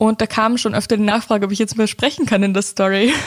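Talking at a very fast pace, a woman sounds somewhat breathy. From Upper Austria. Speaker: podcast host and content creator. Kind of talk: casual solo Q&A podcast. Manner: animated.

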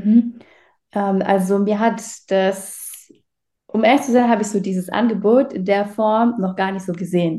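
Speaking in an unremarkable speaking voice, a woman keeps her medium pitch in fairly even intonation. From Baden-Württemberg, Germany. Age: 20s. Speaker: agency owner, client testimonial. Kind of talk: testimonial interview.

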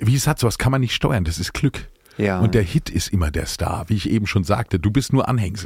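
At a fairly quick pace, a man speaks with a somewhat breathy, fairly low voice and ordinary pitch variation. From Palatinate, Germany (Speyer). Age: 50s. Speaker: singer-songwriter. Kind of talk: casual interview chat.

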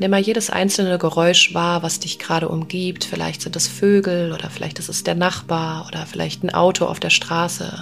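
Speaking at a moderate pace with hardly any pauses, a woman is heard over noticeable background noise. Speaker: podcast host and spiritual coach. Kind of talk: guided meditation. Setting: meditation with background music.

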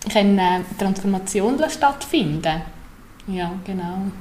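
A woman's voice at medium pitch, fairly slow in pace with ordinary pitch variation, amid noticeable background noise and audible room echo. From Central Switzerland (Obwalden). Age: 30s. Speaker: complementary therapist. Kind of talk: podcast interview. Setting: newly renovated room, not a studio.

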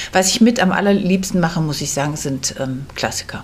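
Background noise is noticeable as a woman speaks at a fairly quick pace. Her intonation is lively at a medium pitch. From Kassel, northern Hesse, Germany. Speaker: theatre director. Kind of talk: interview. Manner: hesitant, many fillers.

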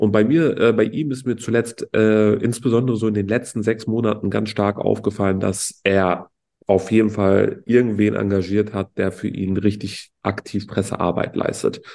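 Speaking at a moderate pace with hardly any pauses, a man uses a fairly low pitch, a dark, mellow tone and fairly even intonation. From Berlin, Germany. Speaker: entrepreneur podcast co-host. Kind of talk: casual chat.

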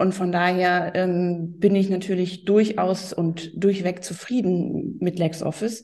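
A woman at a very slow pace, monotone and flat, dark and mellow in tone, with hardly any pauses. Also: medium pitch for a woman. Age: 40s. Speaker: tax advisor. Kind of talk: interview. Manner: hesitant, many fillers.

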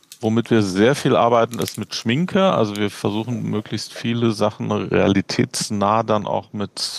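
A man talks at a fairly slow pace with a fairly low pitch and fairly even intonation. The sound is dry and close with no echo. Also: very clean recording, silent background. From Berlin, Germany. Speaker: physician and medical educator. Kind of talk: interview.

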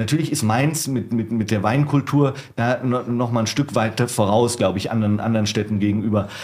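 A man with an unremarkable speaking voice, medium pitch, fairly even intonation and a fairly quick pace. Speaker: wine bar manager. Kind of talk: casual chat.

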